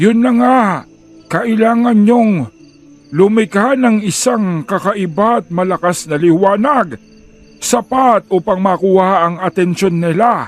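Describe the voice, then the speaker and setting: A man's high, put-on character voice at a fairly slow pace, with faint music in the background. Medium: audio drama. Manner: measured, old-fashioned speech.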